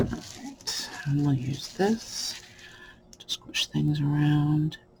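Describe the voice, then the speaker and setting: Against noticeable background noise, the speech moves at a very slow pace. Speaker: crafter. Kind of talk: tutorial.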